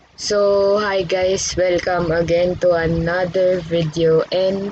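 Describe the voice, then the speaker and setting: Over noticeable background noise, a woman talks at a very slow pace with a fairly low pitch and monotone, flat intonation. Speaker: student presenter. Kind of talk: tutorial.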